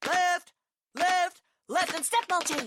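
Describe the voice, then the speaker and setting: The pitch sits extremely high. It comes across as a put-on character voice. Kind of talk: loud, clipped. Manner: barking, commanding.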